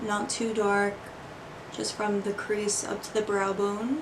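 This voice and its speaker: Amid noticeable background noise and audible room echo, a woman of medium pitch speaks with monotone, flat intonation. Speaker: beauty vlogger. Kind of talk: makeup tutorial. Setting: bedroom. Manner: quiet, hushed.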